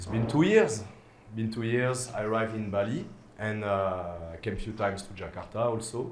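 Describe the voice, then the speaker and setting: There is audible room echo around this man's voice. He has a medium pitch and a French accent. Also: ordinary pitch variation, moderate pace. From France. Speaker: DJ. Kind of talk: casual interview chat. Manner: hesitant, many fillers.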